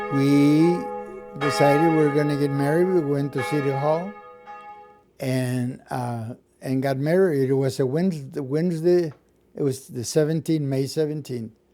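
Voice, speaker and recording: Against background music, a man speaks at a moderate speed. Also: fairly high pitch for a man, fairly even intonation. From Mexico. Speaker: retired musician. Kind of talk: interview answer.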